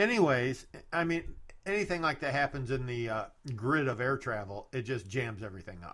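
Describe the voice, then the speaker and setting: A man with a plain, everyday voice, medium in pitch, fairly quick and lively in intonation, on a very clean recording with a silent background. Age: 60s. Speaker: podcast host. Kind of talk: casual chat. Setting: studio.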